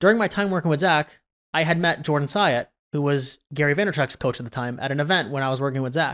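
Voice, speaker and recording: A man with a fairly high pitch speaks very fast, with ordinary pitch variation, on a very clean recording with a silent background. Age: 20s. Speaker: video content strategist. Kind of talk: podcast interview. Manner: halting.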